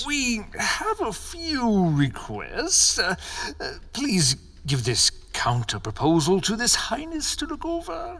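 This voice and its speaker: A put-on character voice at a fairly slow pace over light background noise. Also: man. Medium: audio drama. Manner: blunt, curt.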